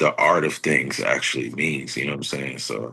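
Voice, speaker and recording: A man's bright, sharp voice with vocal fry. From Texas, Houston. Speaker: rapper. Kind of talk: casual chat. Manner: casual, filler-heavy.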